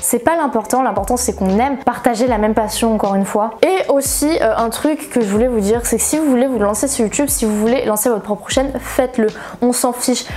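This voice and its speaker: A woman with a high pitch speaks at a fairly quick pace with ordinary pitch variation. Her loudness stays very even over light background noise. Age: 20s. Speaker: manga YouTuber; manga youtuber. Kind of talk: casual vlog chat. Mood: encouraging, earnest. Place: home room.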